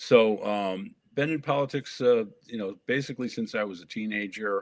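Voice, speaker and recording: With an American accent, a man has a normal speaking voice at medium pitch, ordinary pitch variation and a moderate pace. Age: 60s. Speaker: political candidate. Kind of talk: interview.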